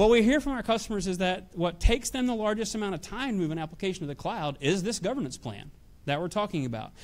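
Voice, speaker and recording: A man with a Nashville accent, high pitch, lively intonation and a very fast pace, on a very clean recording with a silent background. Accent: Southern US (Nashville). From US South, Nashville, Tennessee. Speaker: technology executive. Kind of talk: conference talk. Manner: hesitant, many fillers.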